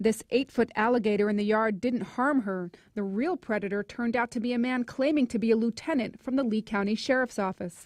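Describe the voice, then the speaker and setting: A woman with a plain, everyday voice talks at a fairly quick pace with hardly any pauses, using a fairly high pitch and ordinary pitch variation in a dry, close sound with no echo. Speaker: TV news reporter. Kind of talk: TV news report.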